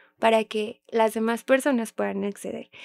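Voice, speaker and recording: In a dry, close recording with no echo, a woman with a fairly high voice speaks with monotone, flat intonation. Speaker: special education teacher and sign language interpreter. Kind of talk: interview conversation.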